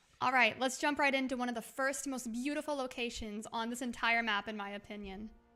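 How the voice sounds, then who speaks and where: A woman talks fairly quickly with hardly any pauses, her voice high and her tone bright and sharp. Her intonation stays fairly even. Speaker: video game streamer. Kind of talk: live stream recording a video script. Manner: casual; stumbling over words when scripted.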